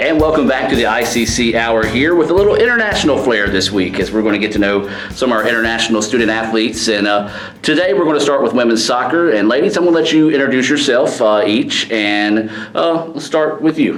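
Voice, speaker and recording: A man with a Mississippi accent talks at a fairly quick pace and medium pitch, with lively intonation and very even loudness, over noticeable background noise and audible room echo. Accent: Mississippi Southern US. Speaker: radio show host. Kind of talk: casual interview.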